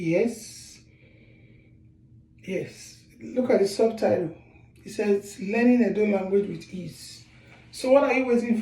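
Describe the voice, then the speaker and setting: With a Nigerian accent, a man speaks at a fairly slow pace in a high pitch, leaving long, frequent pauses, with audible room echo. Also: ordinary pitch variation. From Nigeria, Edo State. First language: Edo. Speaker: author and language teacher. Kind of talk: language lesson; sales pitch.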